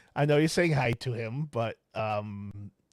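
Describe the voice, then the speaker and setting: A man speaks with a Boston accent. The recording is very clean with a silent background, and the sound is dry and close with no echo. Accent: Boston, drops R's. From Boston, Massachusetts. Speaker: podcast host. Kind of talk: casual chat.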